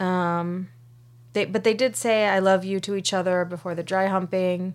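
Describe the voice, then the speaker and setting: At a moderate pace, a woman uses a normal speaking voice at medium pitch on a very clean recording with a silent background. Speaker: podcast co-host. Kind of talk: casual chat.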